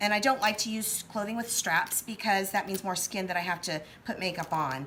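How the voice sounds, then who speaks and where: A woman's voice with ordinary pitch variation. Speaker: special effects makeup artist and costumer. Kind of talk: tutorial. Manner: casual, many filler words.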